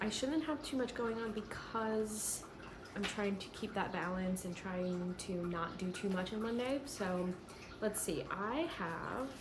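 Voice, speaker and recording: Soft-spoken and fairly slow, a woman at a medium pitch is heard with audible room echo and noticeable background noise. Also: lively intonation. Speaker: lifestyle vlogger. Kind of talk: casual vlog narration.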